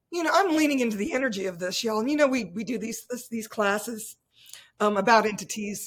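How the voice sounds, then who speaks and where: Speaking at a fairly quick pace, a woman uses lively intonation in a fairly high, somewhat breathy voice. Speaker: podcast host. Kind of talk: casual interview chat. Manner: animated, folksy.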